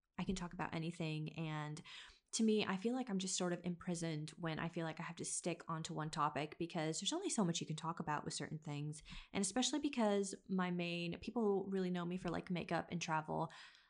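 Against a quiet background, a woman with a fairly low pitch talks at a very fast pace with ordinary pitch variation. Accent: American. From US Midwest (Kansas, small town). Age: 20s. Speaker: podcast host. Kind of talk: casual solo monologue.

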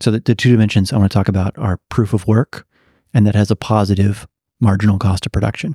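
On a very clean recording with a silent background and a dry, close sound with no echo, a man speaks very fast in a fairly low, dark, mellow, somewhat breathy voice with very even loudness and fairly even intonation. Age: 30s. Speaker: philosophy professor. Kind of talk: interview.

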